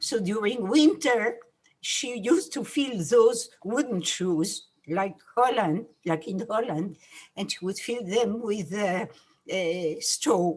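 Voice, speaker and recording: Lively intonation marks a woman's fairly high voice. She speaks at a very slow pace in a French accent. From France. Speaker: Holocaust survivor. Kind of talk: testimony. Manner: halting.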